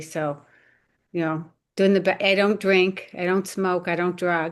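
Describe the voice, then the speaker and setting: A woman speaks at a medium pitch and a moderate pace. The background is quiet. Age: 60s. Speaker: program participant with hormone issues. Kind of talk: casual health Q&A on a video call. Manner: halting, with many false starts.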